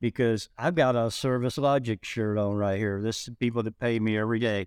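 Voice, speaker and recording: In a dry, close sound with no echo, a man speaks in a plain, everyday voice. His pitch sits in the medium range, with fairly even intonation. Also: very clean recording, silent background. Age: 50s. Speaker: podcast host. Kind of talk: casual interview chat. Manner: relaxed, chatty.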